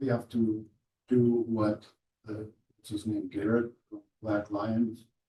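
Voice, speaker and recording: A man talks very slowly with long, frequent pauses in a somewhat breathy, dark, mellow voice of medium pitch, his intonation monotone and flat and his loudness swinging widely. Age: 70s. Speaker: city commissioner. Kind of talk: government working session discussion.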